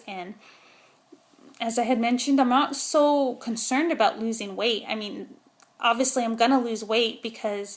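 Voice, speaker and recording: A woman talks at a moderate pace with a fairly high pitch and ordinary pitch variation. Noticeable background noise runs behind her. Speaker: vlogger. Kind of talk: casual vlog monologue. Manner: mumbling; hesitant, many fillers.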